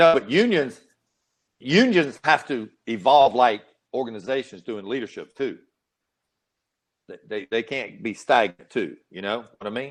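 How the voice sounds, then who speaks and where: Over a quiet background, a man with a Southern US accent speaks at a moderate pace and medium pitch, using lively intonation, big swings in loudness, and long, frequent pauses. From US South. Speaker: retired police chief and leadership trainer. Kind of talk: casual chat. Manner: animated.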